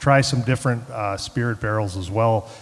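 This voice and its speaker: Speaking at a moderate pace, a man talks with a Chicago accent. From Chicago, South Side. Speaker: head brewer. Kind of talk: panel talk at tasting event. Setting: event room with live audience.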